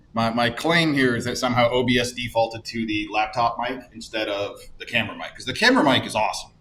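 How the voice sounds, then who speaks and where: A man at medium pitch, very fast, with hardly any pauses, fairly even intonation, big swings in loudness and noticeable background noise. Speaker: university course instructor. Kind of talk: office hours tutorial. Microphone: camera mic after laptop mic fix.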